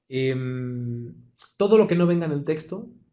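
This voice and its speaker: A man speaks with a Castilian accent and lively intonation. His voice is somewhat breathy. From Madrid, Spain. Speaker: actor and acting teacher. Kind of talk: online lecture.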